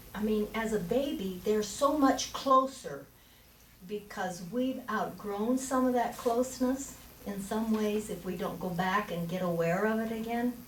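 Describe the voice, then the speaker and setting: With audible room echo and noticeable background noise, a woman speaks at a fairly slow pace and a fairly high pitch. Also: ordinary pitch variation. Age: old. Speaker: minister. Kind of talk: sermon. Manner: halting.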